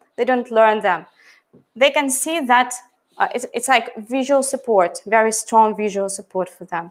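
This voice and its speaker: This woman has an American accent. Her intonation is lively. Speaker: English pronunciation teacher. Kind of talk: teacher training talk. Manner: casual, conversational.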